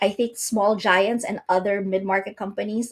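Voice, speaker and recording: With a somewhat breathy quality, a woman talks at moderate speed, her fairly high pitch varying in an ordinary way. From outside the US. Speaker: company founder and CEO. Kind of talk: podcast interview.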